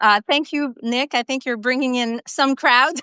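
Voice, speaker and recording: Raised, projected voice of a woman with a French-Canadian accent, high in pitch at a moderate pace, dry and close with no echo. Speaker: live-stream co-host. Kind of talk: casual chat. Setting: live video stream. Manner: halting.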